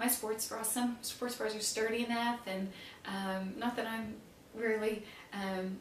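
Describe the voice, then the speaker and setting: A woman speaks in a monotone, flat intonation, with audible room echo and light background noise. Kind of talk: casual advice talk to camera. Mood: warm, friendly. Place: home room.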